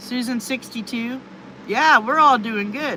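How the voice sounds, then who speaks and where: Over noticeable background noise, a woman with a high voice speaks at a very slow pace with fairly even intonation. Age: 50s. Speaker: livestreamer, retired truck driver. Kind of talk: casual live stream chat reading viewer comments.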